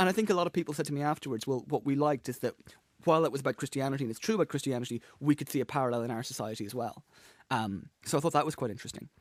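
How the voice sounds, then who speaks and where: With a dry, close sound and no echo, a man speaks at a very fast pace and a fairly high pitch, his intonation lively. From Ireland. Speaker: comedian. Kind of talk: interview. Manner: fast, especially when excited; animated, many repetitions and restarts.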